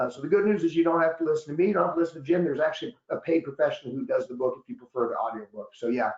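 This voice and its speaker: A loud man talks at a very fast pace in a high voice with lively intonation. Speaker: annuity expert and author, guest presenter. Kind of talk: webinar presentation. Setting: online webinar.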